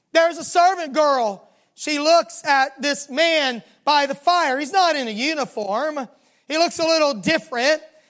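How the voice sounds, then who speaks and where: The recording is very clean, with a silent background. The speaker uses a Southern US accent and talks at a fairly slow pace. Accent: Southern US drawl. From US South. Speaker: pastor. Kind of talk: sermon. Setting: church.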